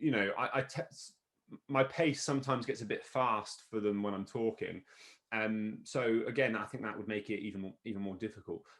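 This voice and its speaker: A man with a medium pitch talks fairly quickly, his pitch varying in an ordinary way. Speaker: university lecturer. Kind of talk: casual chat. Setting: video call. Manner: fast when excited; animated, gets loud.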